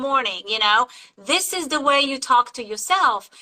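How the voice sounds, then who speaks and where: In a raised, projected voice, a woman with a non-native accent speaks fairly slowly at a high pitch with lively intonation. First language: not English. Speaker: interview host. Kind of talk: interview. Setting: live video interview. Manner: animated.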